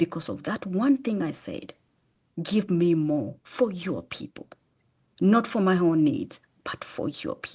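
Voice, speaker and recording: A somewhat breathy voice with a dark, mellow tone moves through very wide pitch swings and big swings in loudness. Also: woman, fairly low pitch for a woman. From Kenya (Machakos, Eastern Kenya). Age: 50s. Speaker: charity founder. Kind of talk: testimony. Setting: podcast interview. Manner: halting with restarts.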